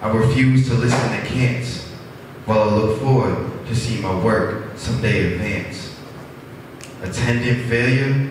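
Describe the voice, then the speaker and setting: A man's fairly slow, fairly evenly intoned speech amid strong room echo and noticeable background noise. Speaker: open mic poet. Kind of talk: spoken word poetry. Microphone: pa.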